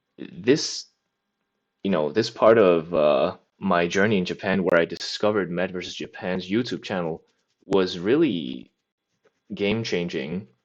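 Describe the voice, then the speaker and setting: A man's very deep, low voice with a non-native accent, ordinary pitch variation, a fairly slow pace and long, frequent pauses against a quiet background. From mainland Europe. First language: a European language, not English. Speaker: language learning vlogger. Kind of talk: casual monologue. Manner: rambling, many fillers.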